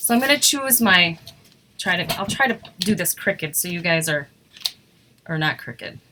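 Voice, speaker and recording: Noticeable background noise surrounds a woman with an Upper Midwest US accent. She talks at a fairly quick pace with lively intonation. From Wisconsin. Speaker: craft demonstrator. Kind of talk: live craft tutorial. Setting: live stream. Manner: fast.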